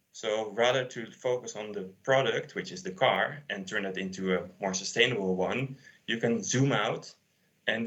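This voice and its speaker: This man has an ordinary speaking voice, pitched fairly low. He talks at a moderate pace. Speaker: sustainability consultant. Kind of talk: conference talk.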